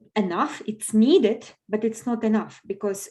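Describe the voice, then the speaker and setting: A woman's somewhat breathy, dark, mellow voice, fairly high in pitch, with fairly even intonation at a fairly slow pace. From Belarus. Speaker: business owner. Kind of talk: podcast interview. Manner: halting.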